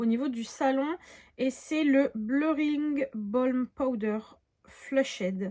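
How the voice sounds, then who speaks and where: A woman is speaking. Her intonation is lively. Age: 20s. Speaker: beauty youtuber. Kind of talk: product haul review. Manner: casual, with many fillers.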